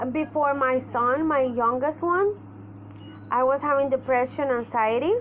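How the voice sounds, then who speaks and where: At a fairly slow pace, a woman speaks in a high voice with ordinary pitch variation and very even loudness. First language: Spanish. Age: 30s. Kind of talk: personal vlog monologue. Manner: halting.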